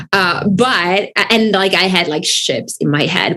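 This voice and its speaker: With noticeable background noise, a woman speaks fairly slowly at medium pitch in an Italian accent, using ordinary pitch variation. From Italy. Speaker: author. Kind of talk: casual chat.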